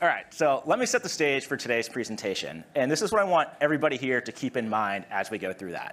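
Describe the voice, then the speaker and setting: A man talks at a very fast pace with a Massachusetts accent, his fairly high pitch making very wide swings. The recording is very clean, with a silent background. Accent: American, Massachusetts. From US, Massachusetts. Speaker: product marketing director. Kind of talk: conference presentation. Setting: stage with audience.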